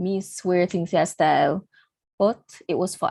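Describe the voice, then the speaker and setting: A woman with a Jamaican accent and fairly low pitch, against a quiet background. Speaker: engineering student. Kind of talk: online panel talk. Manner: casual, many fillers.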